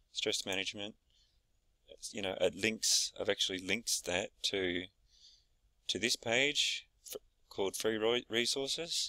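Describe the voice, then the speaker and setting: A man speaks at a medium pitch and fairly slow pace with a bright, sharp tone and ordinary pitch variation, leaving long, frequent pauses. The sound is dry and close, with no echo. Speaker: small business owner showing a website builder. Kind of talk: screen-share tutorial. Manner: hesitant, many fillers.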